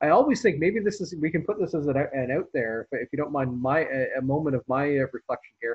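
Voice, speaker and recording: A man with a Canadian accent talks at a fairly quick clip with lively intonation, a somewhat breathy sound and hardly any pauses, over a quiet background. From Canada. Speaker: historian host. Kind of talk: casual interview. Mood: reflective, earnest. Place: home room. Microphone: video call.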